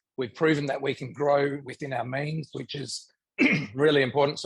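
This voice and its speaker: Putting on a character voice, a man speaks at a moderate pace with a fairly high pitch, sounding raspy and croaky, his intonation monotone and flat. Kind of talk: business talk.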